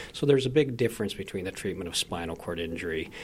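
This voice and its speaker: Somewhat breathy and very deep, a man's voice carries lively intonation. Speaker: physician. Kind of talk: explanation.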